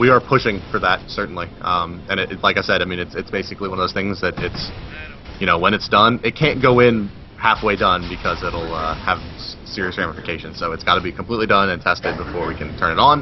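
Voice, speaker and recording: Against noticeable background noise, the voice moves at a very fast pace with ordinary pitch variation. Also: man, very deep, low pitch for a man. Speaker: game developer community representative. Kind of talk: casual chat.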